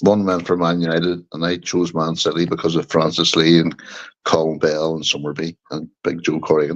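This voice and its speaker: A man with a Northern Irish accent talks at a fairly quick pace. His pitch is very deep and low. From Northern Ireland, Bangor, County Down. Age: 60s. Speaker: football fan guest. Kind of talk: casual chat.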